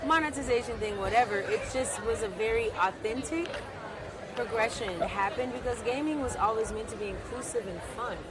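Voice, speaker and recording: Crowd noise and audible room echo fill the background as a woman speaks at a fairly quick pace, with a fairly high pitch and ordinary pitch variation. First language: Spanish. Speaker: gaming company founder. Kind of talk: casual interview. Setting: outdoors by the water.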